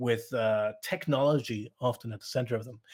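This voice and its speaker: A somewhat breathy voice in a Cork accent with ordinary pitch variation, on a very clean recording with a silent background. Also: man. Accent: Irish, Cork. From Ireland, Cork south coast. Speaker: speaker. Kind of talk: lecture.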